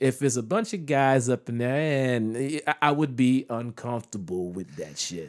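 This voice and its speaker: A man speaks with an American accent in a plain, everyday voice of medium pitch. His intonation is lively, at a moderate pace. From US. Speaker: comedian and actor. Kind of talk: casual chat.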